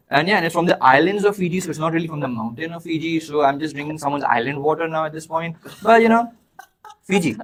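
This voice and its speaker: Speaking very fast with an Indian accent, a man uses a fairly high voice and an animated tone. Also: ordinary pitch variation. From Dubai, of Indian heritage. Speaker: podcast co-host. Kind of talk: playful improvised monologue in a party game.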